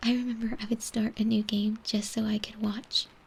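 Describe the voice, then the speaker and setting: Soft-spoken and somewhat breathy, a woman whispers. She keeps a moderate pace. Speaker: ASMR artist. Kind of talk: casual ASMR chat. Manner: soft-spoken, whispered.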